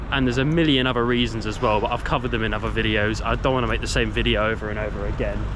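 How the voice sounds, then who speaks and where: Amid noticeable background noise and audible room echo, a man talks at a very fast pace with hardly any pauses. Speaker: travel vlogger. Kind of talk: walking travel vlog narration.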